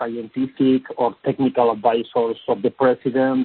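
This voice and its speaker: The man's pitch is medium, and he keeps to a moderate pace. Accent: Spanish. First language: Spanish. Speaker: policy expert. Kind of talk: panel briefing. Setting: phone call. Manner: halting.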